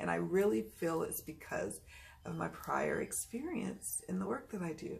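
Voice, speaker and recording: A woman's moderate pace comes through noticeable background noise. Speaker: tarot reader. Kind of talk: casual talk to camera. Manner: calm.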